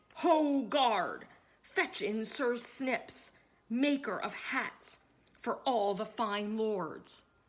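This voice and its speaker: A woman's put-on character voice, fairly high-pitched and at a very slow pace. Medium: read story. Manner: stern, impatient.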